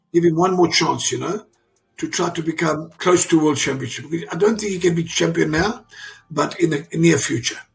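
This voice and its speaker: A man's high voice with ordinary pitch variation over music in the background. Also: moderate pace. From South Africa. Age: 60s. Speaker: father of an Olympic champion. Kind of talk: interview. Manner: animated; halting.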